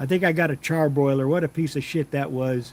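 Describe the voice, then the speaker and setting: It is a plain, everyday voice, a man's, moving at a fairly quick pace with fairly even intonation. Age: 60s. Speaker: BBQ livestream host. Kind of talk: live stream chat reading comments. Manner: casual, conversational.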